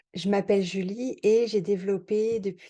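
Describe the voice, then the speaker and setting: Her medium pitch and dark, mellow tone come at a fairly slow pace as a woman speaks with fairly even intonation. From France. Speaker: mathematician and retirement-planning software creator. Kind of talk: sales pitch and product tutorial. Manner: casual, many hesitations.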